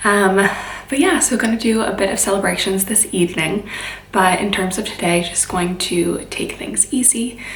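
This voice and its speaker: Noticeable background noise and audible room echo around moderately paced speech with lively intonation. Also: woman. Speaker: lifestyle vlogger. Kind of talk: casual vlog narration.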